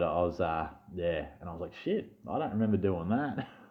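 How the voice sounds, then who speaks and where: A man with an Australian accent sounds animated. His pitch varies in an ordinary way. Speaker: fantasy sports youtuber. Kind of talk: casual vlog chat. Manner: stuttering.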